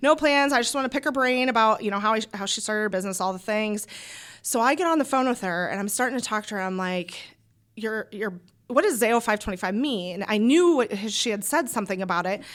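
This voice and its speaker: A woman with a Midwestern US accent speaks very fast at a fairly high pitch, in an animated tone with lively intonation. The recording is very clean with a silent background. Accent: US Midwest. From Iowa. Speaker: small business owner. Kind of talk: casual interview chat.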